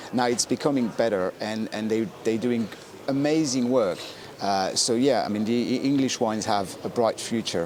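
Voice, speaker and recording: With a French accent, a man speaks at a moderate pace and medium pitch. His pitch varies in an ordinary way, and noticeable background noise runs behind him. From France. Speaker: wine specialist. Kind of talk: casual chat. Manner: halting.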